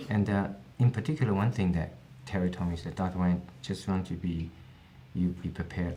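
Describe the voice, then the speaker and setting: Music plays in the background as a man with a Chinese accent speaks in a very deep, low voice. His pitch varies in an ordinary way, and room echo is audible. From China. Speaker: eye surgeon. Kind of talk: interview.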